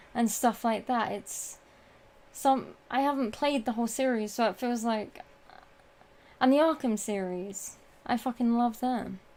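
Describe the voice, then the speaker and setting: Long, frequent pauses break up a woman's fairly slow speech in a British accent. Her pitch sits fairly high, and her intonation stays fairly even. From Britain. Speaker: gaming streamer. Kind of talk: live stream Q&A. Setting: live stream with chat. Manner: casual, hesitant with fillers.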